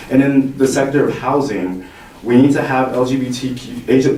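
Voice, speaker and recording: The man's delivery is neither fast nor slow. Room echo and distinct background noise are both audible. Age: 20s. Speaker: youth health activist. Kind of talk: public testimony. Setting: legislative hearing.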